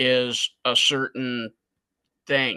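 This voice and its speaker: A man speaks at a medium pitch with a bright, sharp tone. The sound is dry and close with no echo, over a quiet background. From US Midwest, Chicago. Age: 60s. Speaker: custom artist. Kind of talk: podcast interview.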